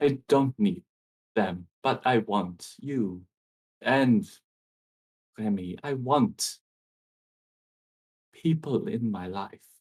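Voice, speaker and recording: Putting on a character voice, a man speaks at a medium pitch with lively intonation, sounding shaky. He goes at a very slow pace, with long, frequent pauses. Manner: emotional, vulnerable.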